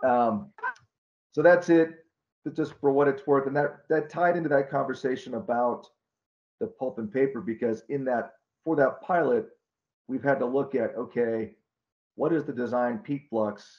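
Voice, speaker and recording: With an American accent, the speaker keeps a moderate pace and ordinary pitch variation, leaving long, frequent pauses. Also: man, fairly high pitch for a man. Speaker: wastewater engineering consultant. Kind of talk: online Q&A discussion. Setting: video call. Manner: halting.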